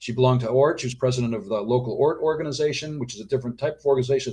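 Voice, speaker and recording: A man's voice sits at a medium pitch with ordinary pitch variation. It comes across somewhat breathy. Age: 60s. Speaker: author and doctor. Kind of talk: interview.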